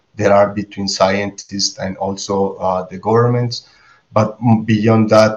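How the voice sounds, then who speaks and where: A man is speaking. He talks with a Spanish accent. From Colombia. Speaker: biologist and behavioral scientist. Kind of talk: roundtable discussion.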